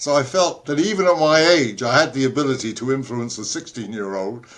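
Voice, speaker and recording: In a London accent, a man at a medium pitch talks at a fairly quick pace with lively intonation. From London, England. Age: 80s+. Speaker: inventor, entrepreneur and author. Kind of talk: interview answer. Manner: humorous.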